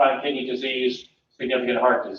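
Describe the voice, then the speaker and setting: A man with a medium pitch talks at a fairly quick pace in a plain, everyday voice. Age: 60s. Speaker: public health director. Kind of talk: presentation to board. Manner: conversational.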